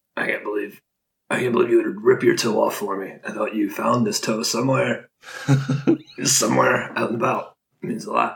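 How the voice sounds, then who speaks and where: A man in a put-on character voice sounds raspy, moving at a moderate pace broken by long, frequent pauses. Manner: gentle, awkward.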